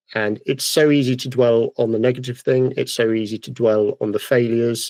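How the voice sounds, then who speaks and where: Talking at a fairly quick pace with a British accent, a man of medium pitch speaks in a monotone, flat way, the sound dry and close with no echo. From United Kingdom. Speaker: podcast host, woodturner. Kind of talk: casual podcast chat. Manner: fast.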